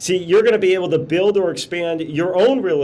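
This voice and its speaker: A man with an American accent talks at a very fast pace amid noticeable background noise. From Chicago. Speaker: motivational business speaker. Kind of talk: webinar presentation. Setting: video call, outdoors. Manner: animated.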